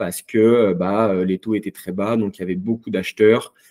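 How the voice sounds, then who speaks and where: Speaking at a moderate pace, a man has a fairly low pitch and a dark, mellow tone. The recording is very clean with a silent background and a dry, close sound with no echo. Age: 30s. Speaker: real estate investor. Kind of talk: interview.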